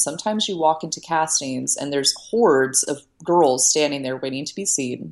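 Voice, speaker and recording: In an American accent, a woman speaks with lively intonation. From US South, Virginia (Shenandoah Valley). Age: 20s. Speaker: growth marketing founder and former model. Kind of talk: interview.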